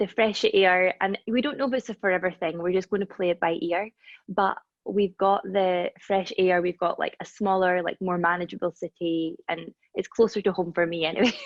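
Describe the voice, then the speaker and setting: At a moderate pace, a woman with a Scottish accent speaks at a medium pitch with fairly even intonation. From Scotland, Dundee. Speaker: reiki practitioner and holistic healer. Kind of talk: casual chat.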